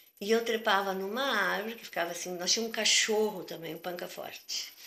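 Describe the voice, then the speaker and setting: Amid noticeable background noise, a woman at medium pitch talks at a moderate pace with ordinary pitch variation. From southern Brazil, Porto Alegre. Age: 60s. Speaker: retired physical education teacher. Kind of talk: interview. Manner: conversational, hesitant.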